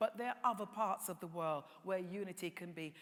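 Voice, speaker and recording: A woman speaks with a British accent. Her pitch varies in an ordinary way at a moderate pace. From England. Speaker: tourism industry panelist. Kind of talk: conference panel talk.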